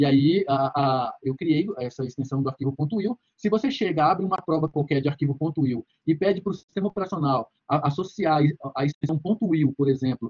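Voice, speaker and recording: A man's somewhat breathy voice, fairly high in pitch, at a fairly quick pace with ordinary pitch variation. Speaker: university lecturer. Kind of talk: lecture. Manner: fast; halting, many fillers.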